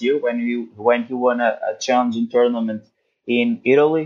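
In a Portuguese accent, a man speaks with monotone, flat intonation. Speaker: tennis writer. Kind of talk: interview. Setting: remote call from home, late at night. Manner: halting.

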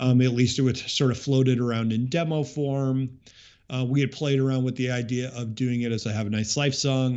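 At a moderate pace, a man with an unremarkable speaking voice talks at a medium pitch and with fairly even intonation. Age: 40s. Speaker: musician. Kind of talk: casual chat.

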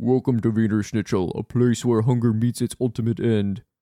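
Against a quiet background, a man puts on a character voice at medium pitch. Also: moderate pace. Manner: ominous.

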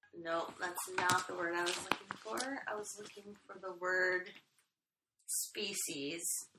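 A woman's voice with big swings in loudness, ordinary pitch variation, and audible room echo. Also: medium pitch for a woman, fairly slow pace. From Britain. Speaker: podcast co-host. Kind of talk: casual chat.

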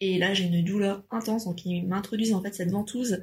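With fairly even intonation, a woman speaks in a somewhat breathy voice of medium pitch. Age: 30s. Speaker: mother. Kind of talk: casual chat.

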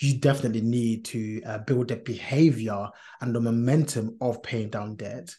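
A man's somewhat breathy, medium-pitched voice keeps fairly even intonation. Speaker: podcast co-host. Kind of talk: casual podcast discussion.

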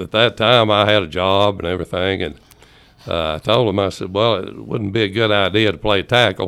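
A man with an East Tennessee accent, fairly low pitch and moderate pace. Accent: Southern US (East Tennessee). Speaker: former high school football player. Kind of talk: casual chat. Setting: studio.

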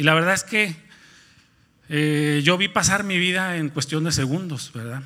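A man's fairly high pitch in a bright, sharp tone, with ordinary pitch variation at a moderate pace. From Nuevo León, Mexico (near Monterrey). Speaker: lay preacher. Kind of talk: sermon. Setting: church. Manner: halting, many fillers and repetitions.

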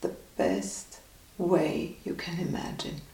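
Through noticeable background noise, the speaker talks at a very slow pace in a calm, soothing tone. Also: woman. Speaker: meditation guide. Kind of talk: guided meditation. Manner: calm, slow, soothing; gently instructive, with long pauses.

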